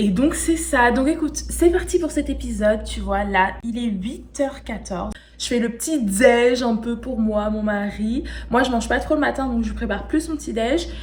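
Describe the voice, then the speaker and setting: A woman at a moderate pace, with audible room echo and noticeable background noise. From France. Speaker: lifestyle vlogger and podcaster. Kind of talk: casual vlog talk to camera. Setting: outdoors, walking in the street. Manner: casual, chatty.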